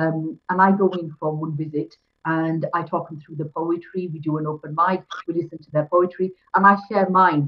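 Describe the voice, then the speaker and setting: A woman's fairly low voice at a moderate pace, with monotone, flat intonation. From Kashmir, then Yorkshire (Bradford) from age 12; Kashmir. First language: Pahari (Kashmiri dialect). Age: 40s. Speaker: poet and teacher; poet, interview guest. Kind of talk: interview conversation; interview answer. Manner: halting, many fillers and repetitions. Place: home room. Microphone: video call.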